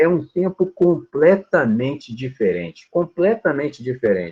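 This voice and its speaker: A man speaks at a moderate pace in a fairly high voice whose pitch swings very widely. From Brazil, rural upbringing. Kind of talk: casual group discussion on Bible. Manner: animated.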